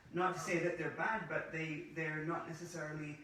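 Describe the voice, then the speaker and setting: A fairly high-pitched man with a Scottish accent, monotone and flat in intonation at a moderate pace, with noticeable background noise and audible room echo. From Scotland. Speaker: former pharmacist turned holistic practitioner. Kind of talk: interview. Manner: hesitant, with frequent uh fillers.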